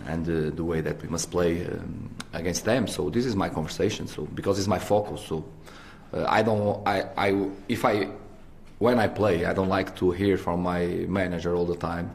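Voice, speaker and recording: The man's voice is very deep and low in pitch, with ordinary pitch variation. He keeps a moderate pace. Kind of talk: press conference answer. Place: hall. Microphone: podium.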